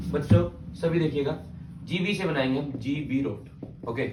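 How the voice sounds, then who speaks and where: There is audible room echo as a man talks in an animated tone with a slight Haryanvi accent. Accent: slight Haryanvi touch. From Haryana, India. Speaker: teacher. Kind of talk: lecture.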